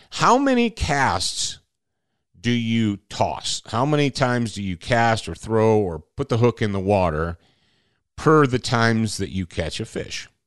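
In a plain, everyday voice, a man with an American accent speaks at medium pitch and a fairly slow pace, with ordinary pitch variation. The sound is dry and close with no echo, against a quiet background. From Michigan. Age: 50s. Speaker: podcast host. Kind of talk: casual monologue.

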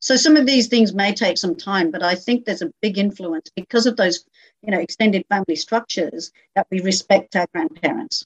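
Somewhat breathy, a woman speaks at a fairly quick pace with lively intonation. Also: medium pitch for a woman, dry, close sound with no echo. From England. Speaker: domestic violence caseworker. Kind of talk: interview. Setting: video call.

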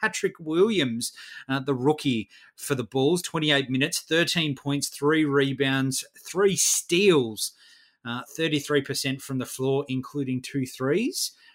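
Speaking fairly slowly in an Australian accent, a man has a fairly high pitch and ordinary pitch variation. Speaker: fantasy basketball podcast co-host. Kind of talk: casual chat.

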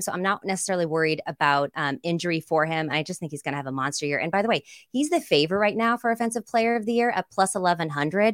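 Very fast, animated speech with lively intonation and an American accent, in a dry, close sound with no echo. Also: woman. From US West Coast, San Jose, California. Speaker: sports betting analyst and broadcaster. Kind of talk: casual interview chat.

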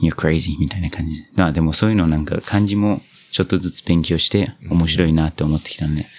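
Very fast speech from a man with a very deep, low pitch and fairly even intonation. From New Zealand. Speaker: podcast host, interpreter. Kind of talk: casual interview. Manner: mixes English into Japanese.

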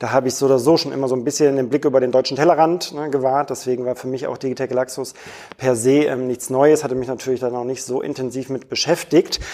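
A man talks very fast at a medium pitch in a monotone, flat intonation. Noticeable background noise runs underneath. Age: 30s. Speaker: e-commerce product manager. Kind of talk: interview. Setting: airport lounge.

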